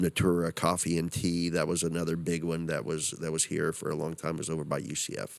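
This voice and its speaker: In an American accent, a man with a very deep, low voice talks at a fairly quick pace in a flat monotone, hardly pausing at all. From southwest Florida, Immokalee. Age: 40s. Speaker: touring guitarist. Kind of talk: casual chat.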